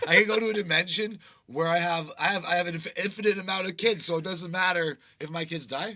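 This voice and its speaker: A man's loud, bright and sharp voice, high-pitched, at a very fast clip with fairly even intonation. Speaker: podcast host. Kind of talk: casual chat.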